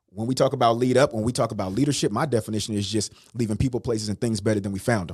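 Talking at a very fast pace, a man with an American accent has an animated tone and medium pitch. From US West Coast, Richmond, California. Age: 40s. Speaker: motivational speaker. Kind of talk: casual interview.

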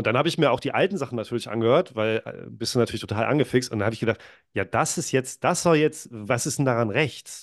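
A man speaks at a very fast pace with a medium pitch and ordinary pitch variation. The background is quiet. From northern Germany, near Lübeck. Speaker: podcaster. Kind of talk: casual interview. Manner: hesitant, many fillers.

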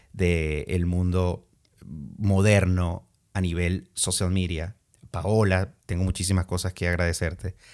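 Intonation flat and monotone, a man talks with a very deep, low pitch. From Venezuela, Andean region (Valera, Trujillo). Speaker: podcast host, former radio presenter. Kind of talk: casual monologue.

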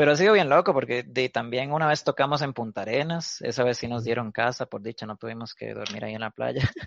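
Speaking at a very fast pace with hardly any pauses, a man with a Costa Rican accent has a medium pitch, ordinary pitch variation and big swings in loudness. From Costa Rica, Guanacaste (Cañas). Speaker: punk musician. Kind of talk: casual chat.

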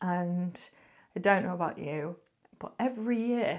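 A woman's medium-pitched voice with a northern English accent, at a fairly slow pace. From northern England. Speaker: podcast host. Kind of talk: casual monologue.

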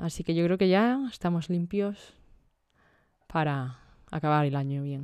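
A woman with a fairly low pitch talks at a fairly slow pace, leaving long, frequent pauses. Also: lively intonation. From Almería, Spain. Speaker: podcast co-host. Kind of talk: casual chat.

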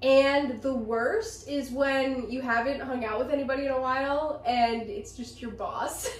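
Amid audible room echo and noticeable background noise, a woman with an American accent speaks at a high pitch and a fairly slow pace, with hardly any pauses and ordinary pitch variation. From central Pennsylvania. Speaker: podcast co-host. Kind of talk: casual chat.

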